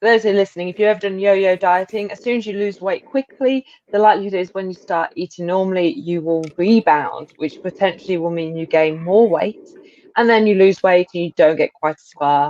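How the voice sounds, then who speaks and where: A woman's medium-pitched voice with a British accent, fairly quick pace, ordinary pitch variation, big swings in loudness, and a dry, close sound with no echo. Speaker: interviewer. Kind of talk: casual interview chat.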